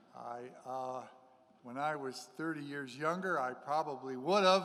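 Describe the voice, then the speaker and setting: A man with a fairly high pitch speaks at a fairly slow pace amid audible room echo. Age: 60s. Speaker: priest. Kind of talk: sermon.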